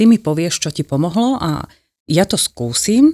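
A woman with an unremarkable speaking voice of medium pitch talks at a moderate pace with lively intonation, recorded very cleanly against a silent background with a dry, close sound and no echo. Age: 50s. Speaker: nutrition therapist. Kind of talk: interview.

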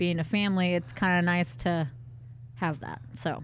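A woman talks fairly slowly in a fairly low, somewhat breathy voice with lively intonation. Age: 30s. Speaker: podcast co-host. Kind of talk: casual chat.

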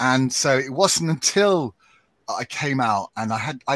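A man with a British accent and very wide pitch swings, in a dry, close sound with no echo. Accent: English (British RP-like). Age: 60s. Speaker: podcaster and radio writer. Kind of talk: live panel discussion. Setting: live stream video call.

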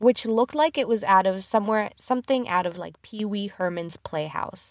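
Very clean and dry, the recording has a silent background, close sound with no echo, an animated tone and lively intonation. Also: woman. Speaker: podcast host. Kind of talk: casual movie review chat. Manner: laughs often, animated.

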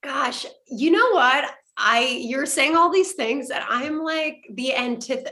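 A woman's raised, projected voice comes through at a high pitch with a bright, sharp tone, ordinary pitch variation and a fairly slow pace. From Quebec (French Canada). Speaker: actress. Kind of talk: casual interview chat. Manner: animated.

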